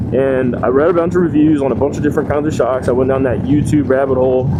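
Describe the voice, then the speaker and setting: Over noticeable background noise and audible room echo, a man talks at a very fast pace with a medium pitch. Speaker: motorcycle vlogger. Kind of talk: motovlog monologue while riding.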